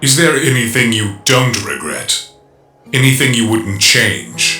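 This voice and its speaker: Over faint music in the background, a man adopts a menacing, put-on character voice at medium pitch and a fairly slow pace. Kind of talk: comic dub performance. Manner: menacing, bitter.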